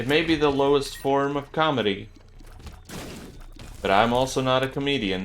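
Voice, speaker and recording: Here a man speaks with a non-native accent. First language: not English. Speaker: gaming YouTuber. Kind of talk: gameplay commentary. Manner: casual, joking.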